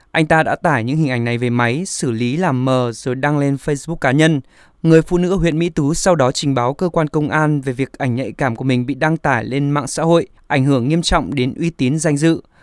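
A man with a plain, everyday voice talks at a moderate pace, hardly any pauses breaking his speech. His pitch is fairly high with ordinary variation, and the sound is dry and close with no echo. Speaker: news reader. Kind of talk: news reading. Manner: formal.

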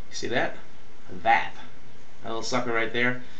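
A man speaks with audible room echo and a light hiss of background noise. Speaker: vlogger. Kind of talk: casual vlog chat. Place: bathroom. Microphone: webcam.

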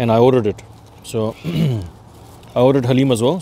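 The sound is dry with no echo and light background noise. A man speaks with ordinary pitch variation. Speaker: food vlogger. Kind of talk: casual vlog chat. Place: open country. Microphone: phone near.

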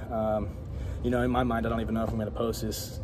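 Against noticeable background noise, a man talks at a very fast pace. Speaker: fitness vlogger. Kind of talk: casual vlog chat. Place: gym. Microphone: phone near.

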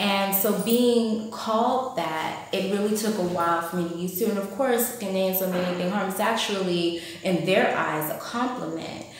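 A woman's medium-pitched voice with an American accent, ordinary pitch variation, a moderate pace and hardly any pauses, in a room with strong echo and light background noise. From United States. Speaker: vlogger. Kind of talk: vlog monologue. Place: home room. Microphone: phone near.

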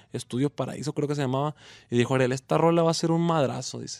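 Here a man has an ordinary speaking voice with a fairly high pitch and ordinary pitch variation. The sound is dry with no echo, over a quiet background. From Mexico, Culiacán, Sinaloa; Sinaloa, Mexico. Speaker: regional Mexican music artist. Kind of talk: radio interview. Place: studio.

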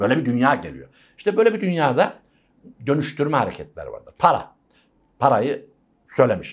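Against a quiet background, a man with a fairly high pitch and vocal fry talks at a fairly quick pace, with very wide pitch swings, big swings in loudness and long, frequent pauses. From rural Turkey. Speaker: university lecturer. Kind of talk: interview. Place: studio.

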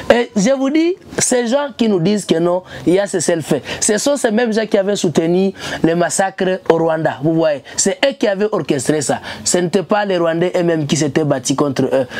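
Against noticeable background noise, a woman with a medium pitch speaks at a moderate pace with very wide pitch swings.

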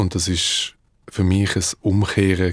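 A man speaks in a very deep, low pitch. The sound is dry, with no echo. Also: quiet background. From Switzerland (Davos), Dutch parents; Switzerland. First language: Dutch (speaking German). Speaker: musician; guest. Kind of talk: interview. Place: studio. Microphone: studio mic.

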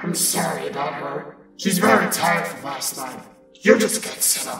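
Over loud background music and a slight echo, a woman does a put-on character voice at a fairly low pitch and a moderate pace. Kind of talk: audio drama dialogue.

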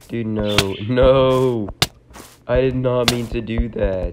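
A man speaks over noticeable background noise. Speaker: gaming youtuber. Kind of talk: gameplay commentary. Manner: animated.

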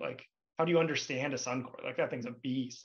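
A man talks at a very fast pace with a Canadian accent. His fairly high-pitched voice keeps a fairly even intonation. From Western Canada (British Columbia, near Vancouver). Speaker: CFO and accountant; interview guest. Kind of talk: interview conversation. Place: home room. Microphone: video call.

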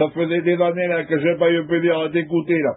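This man talks fast at a fairly high pitch, with little pitch movement.

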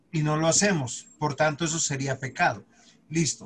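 The speech moves at a fairly slow pace with ordinary pitch variation over light background noise. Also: man. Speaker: pastor teaching a Bible class. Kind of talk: lecture. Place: home room. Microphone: video call.

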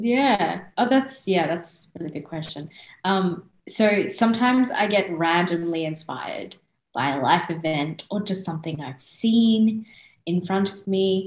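A woman's somewhat breathy voice at a fairly slow pace, lively in intonation and with big swings in loudness, with audible room echo over a quiet background. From born in India, raised in Australia from age 5. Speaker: singer-songwriter, interview guest. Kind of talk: interview answer. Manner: casual, chatty. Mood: warm, friendly, animated. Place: home room. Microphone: video call.

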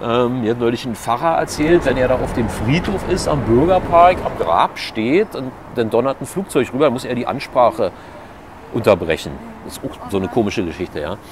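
A man talks at a moderate pace with very wide pitch swings. Noticeable noise sits in the background. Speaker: local politician. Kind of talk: interview answer. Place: street. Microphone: lapel.

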